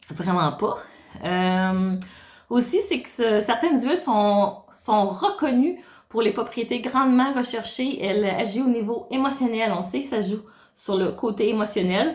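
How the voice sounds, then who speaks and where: Somewhat breathy, a woman talks at a fairly slow pace with a fairly high pitch and lively intonation. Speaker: wellness consultant. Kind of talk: tutorial. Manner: hesitant, many filler sounds.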